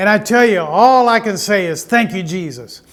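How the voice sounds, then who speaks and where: A man speaks at a high pitch with ordinary pitch variation. Audible room echo surrounds his voice. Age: 70s. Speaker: pastor. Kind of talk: sermon; interview.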